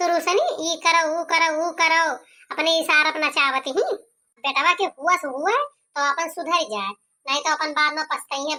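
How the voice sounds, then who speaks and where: A squeaky, cartoonish character voice from a woman, extremely high in pitch, at a moderate pace with ordinary pitch variation. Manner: nagging, haggling.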